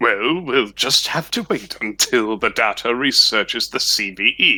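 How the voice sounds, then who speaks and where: Speaking at medium pitch and a moderate pace, a man puts on a character voice. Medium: audio drama. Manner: smug, drawling.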